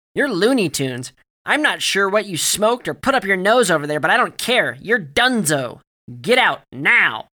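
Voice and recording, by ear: A man shouts loudly in a put-on character voice, high-pitched and bright and sharp, with big pitch swings at a moderate pace.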